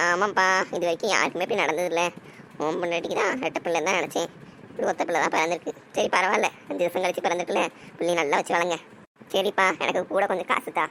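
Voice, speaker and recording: A cartoonish character voice at middle pitch, rattling along very fast over clear background noise. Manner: sly, quick to deny.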